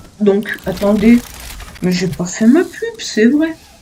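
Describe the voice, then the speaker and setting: Very wide pitch swings from a woman, over noticeable background noise. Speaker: gaming youtuber. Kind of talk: casual let's play commentary. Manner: animated.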